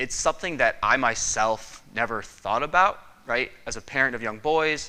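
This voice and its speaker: With a northern US accent, a man speaks at a medium pitch in a bright, sharp tone. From Michigan. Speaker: respiratory therapist. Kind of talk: conference presentation.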